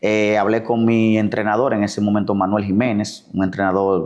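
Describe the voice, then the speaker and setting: Fairly low-pitched male speech at a moderate pace over a quiet background. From Dominican Republic, La Vega; Dominican Republic. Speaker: physician and elected city councillor; elected city councillor. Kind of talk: interview. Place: home room. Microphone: lapel.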